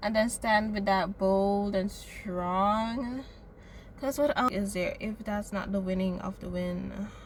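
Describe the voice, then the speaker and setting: A woman speaks at a fairly slow pace, somewhat breathy, with medium pitch and fairly even intonation. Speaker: vlogger. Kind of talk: personal vlog monologue. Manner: reflective, hesitant.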